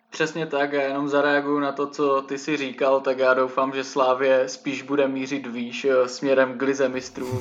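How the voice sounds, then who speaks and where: A man's fairly high voice in a flat monotone. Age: 20s. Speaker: podcast host, journalism student. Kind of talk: casual chat. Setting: remote recording over computers.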